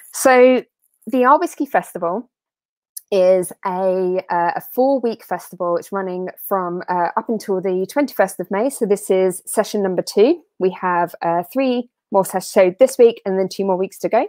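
At a moderate pace, a woman speaks with ordinary pitch variation, her voice heard over a quiet background with a dry sound and no echo. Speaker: whisky festival host. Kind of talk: live-streamed whisky tasting. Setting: video call. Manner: animated. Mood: friendly, upbeat. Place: home room. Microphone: earbuds.

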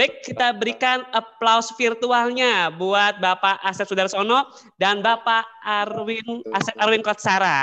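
Very slowly and in a raised, projected voice, a man speaks with a high pitch, a bright, sharp tone and ordinary pitch variation. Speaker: event MC. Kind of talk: formal event emceeing. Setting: video call.

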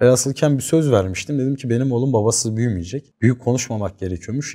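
A man talks at a fairly quick pace. His voice sits at a medium pitch with a dark, mellow tone. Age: 20s. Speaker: former drug addict in recovery. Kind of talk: personal testimony.

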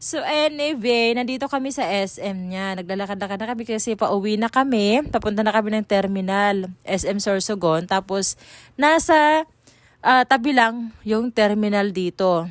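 A woman with a fairly high pitch talks at a moderate pace with ordinary pitch variation and an ordinary speaking voice. The recording is very clean, with a silent background. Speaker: vlogger. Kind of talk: casual vlog chat. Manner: casual, rambling.

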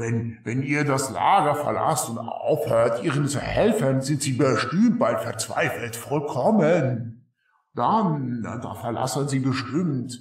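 A man with a medium-pitched, guttural voice talks at a fairly slow pace with lively intonation and a slight echo. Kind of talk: comic fantasy voice acting. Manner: timid, self-deprecating, broken speech.

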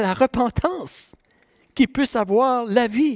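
The man's voice sits extremely high in pitch. He speaks very slowly. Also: quiet background. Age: 60s. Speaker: pastor. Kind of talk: sermon. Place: church. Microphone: headset.

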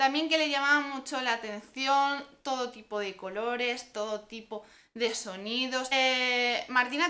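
Projecting a raised voice, a woman sounds bright and sharp in tone at a high pitch. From Spain. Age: 20s. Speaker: parenting vlogger. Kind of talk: vlog monologue. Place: home room. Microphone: camera far.

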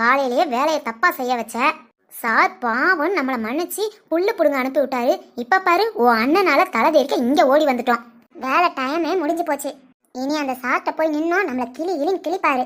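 A woman puts on a cartoonish character voice with a high pitch. She moves at a moderate pace with lively intonation. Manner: teasing, giggling.

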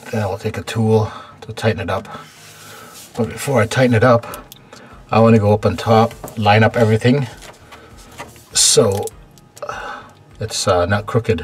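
A man at a moderate pace with fairly even intonation and long, frequent pauses, faint music in the background. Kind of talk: tutorial. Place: kitchen. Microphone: phone near.

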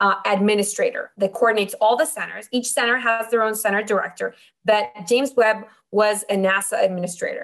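Fairly even intonation marks speech delivered at a fairly quick pace. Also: woman, fairly high pitch for a woman. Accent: Spanish. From Mexico. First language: Spanish. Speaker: optical engineer. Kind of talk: interview.

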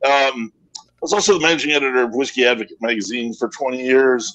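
The pace is moderate as a man speaks. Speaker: whiskey and beer writer. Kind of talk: casual chat. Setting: video call. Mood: relaxed, self-deprecating. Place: home room. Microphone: video call.

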